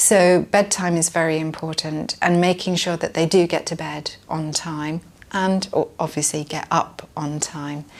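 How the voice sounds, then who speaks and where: In a British accent, a woman speaks at a fairly low pitch. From UK. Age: 50s. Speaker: parent interviewee. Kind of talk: interview answer. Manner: hesitant, many fillers.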